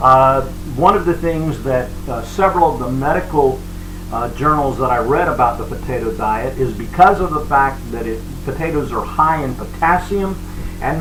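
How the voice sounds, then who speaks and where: Fairly high male voice with ordinary pitch variation, audible room echo, and music in the background. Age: 60s. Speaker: cooking and diet vlogger. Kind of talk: video diary cooking tutorial. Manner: hesitant, many fillers.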